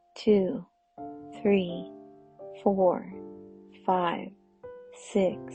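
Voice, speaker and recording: Music plays behind a woman who speaks very slowly in a calm, soothing tone with ordinary pitch variation. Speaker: guided meditation host, mom. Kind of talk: guided breathing meditation. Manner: calm, slow, soothing.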